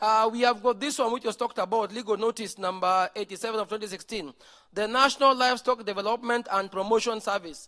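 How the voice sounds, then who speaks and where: A man's high-pitched, raised, projected voice with a bright, sharp tone and fairly even intonation at a very fast pace. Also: quiet background. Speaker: conference presenter. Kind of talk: conference presentation.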